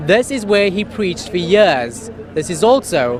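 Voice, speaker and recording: Moderate pace against noticeable background noise. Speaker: news anchor. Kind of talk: TV news anchoring.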